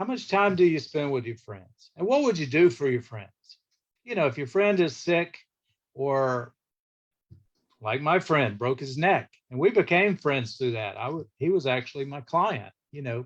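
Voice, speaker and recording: A man has a normal speaking voice with a fairly high pitch. He uses lively intonation with big swings in loudness. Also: moderate pace. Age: 60s. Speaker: church guest speaker and lawyer. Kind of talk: church class talk. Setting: livestreamed virtual church class. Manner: conversational.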